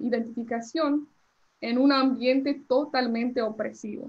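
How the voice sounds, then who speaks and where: This is a woman. Her voice sits at a high pitch. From US Northeast (New Jersey), born in Colombia. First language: English (speaking Spanish). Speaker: immigration lawyer. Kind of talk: lecture. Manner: halting, many fillers.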